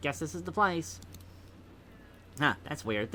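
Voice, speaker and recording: Put-on character voice from a man at medium pitch, fairly slow pace, with clear background noise. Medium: solo performance. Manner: casual.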